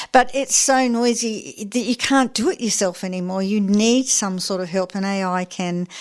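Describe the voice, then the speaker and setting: A woman with an Australian accent talks at a moderate pace and medium pitch, using ordinary pitch variation and hardly any pauses. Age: 70s. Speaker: community radio host. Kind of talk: radio interview.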